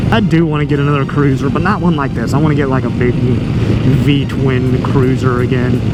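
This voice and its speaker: A man talks at a moderate pace with hardly any pauses and fairly even intonation. Audible room echo and background music fill the clip. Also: medium pitch for a man, very even loudness. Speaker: motovlogger and truck driver. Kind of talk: casual vlog narration while riding. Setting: on a motorcycle outdoors. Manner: relaxed, laid back.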